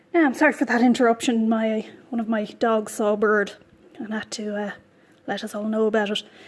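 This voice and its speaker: A woman speaks at a fairly quick pace in a fairly high pitch, with an Irish accent. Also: fairly even intonation. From Ireland. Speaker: knitting podcaster. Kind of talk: casual vlog chat while knitting. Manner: hesitant, many ums and repeats.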